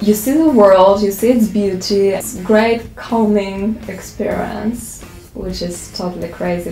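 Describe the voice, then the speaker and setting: A woman at a fairly slow pace with ordinary pitch variation, audible room echo and faint music in the background. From Russia. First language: Russian. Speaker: model. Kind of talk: interview answer. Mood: cheerful, relaxed. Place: studio.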